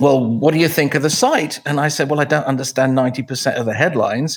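A man with a British accent, fairly high-pitched, at a moderate pace with ordinary pitch variation. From England. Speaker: author and emcee. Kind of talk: casual interview conversation. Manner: humorous, wry.

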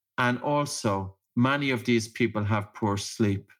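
A man with an Irish accent at a medium pitch with ordinary variation, on a very clean recording with a silent background. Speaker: breathing practitioner and author. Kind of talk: interview.

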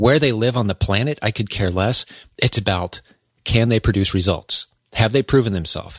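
At a moderate pace, a man speaks in a medium pitch with ordinary pitch variation, recorded in a dry, close sound with no echo. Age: 40s. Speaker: podcast host and online business coach. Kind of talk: interview podcast; scripted show intro and outro. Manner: animated.

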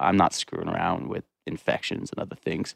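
In a very clean recording with a silent background, a man speaks with an American accent, the sound dry and close with no echo. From Montana, US (Bozeman area). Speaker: chef and food entrepreneur, electrical injury survivor. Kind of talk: casual interview. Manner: halting, many fillers.

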